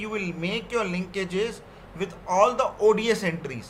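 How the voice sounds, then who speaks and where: A man talks with a high pitch and ordinary pitch variation. Noticeable background noise runs under his voice. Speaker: software trainer. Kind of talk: technical training session.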